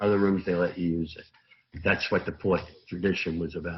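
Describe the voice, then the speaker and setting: A man with a New York accent speaks at a moderate pace. His voice is very deep and low, with monotone, flat intonation. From Brooklyn, New York. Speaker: recovering alcoholic speaker at AA meeting. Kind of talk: recovery testimony talk. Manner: loud.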